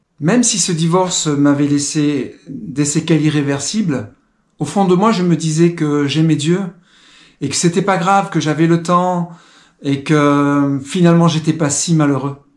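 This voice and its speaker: A man speaks at a fairly slow pace in a fairly high voice, with ordinary pitch variation and very even loudness. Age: 60s. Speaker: testimony speaker. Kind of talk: testimony. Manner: halting, with filler sounds.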